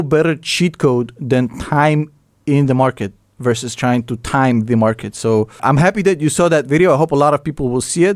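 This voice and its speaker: With lively intonation and a Russian accent, a man speaks at a moderate pace and a fairly high pitch in a very clean recording with a silent background. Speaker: financial YouTuber. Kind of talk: interview.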